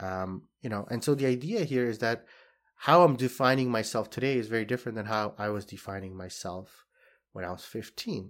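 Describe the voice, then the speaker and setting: Delivered at a fairly quick pace in a Canadian accent with ordinary pitch variation, the speech has a very clean recording and a silent background. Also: man, medium pitch for a man. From Saudi Arabia (Jeddah) to age 12, then Canada. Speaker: podcast host and social worker. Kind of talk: solo reflective podcast monologue. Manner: frequent fillers and hesitations.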